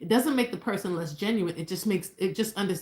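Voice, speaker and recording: The voice is somewhat breathy, moving at a very fast pace with ordinary pitch variation. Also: woman. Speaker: married couple co-host of relationship livestream. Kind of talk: live stream chat. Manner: stutters often; casual, hesitant with fillers.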